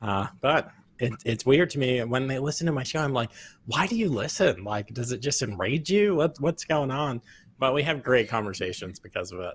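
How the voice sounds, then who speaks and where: At a moderate pace, a man with an unremarkable speaking voice talks at a medium pitch with lively intonation. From Virginia, born on Long Island. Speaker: military veteran and show host. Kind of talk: interview. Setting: home office.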